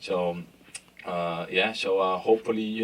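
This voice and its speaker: The speaker has a Brazilian Portuguese accent. Noticeable background noise can be heard. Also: man. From Brazil, São Paulo. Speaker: sports brand marketing executive. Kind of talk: panel discussion. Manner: hesitant, many fillers.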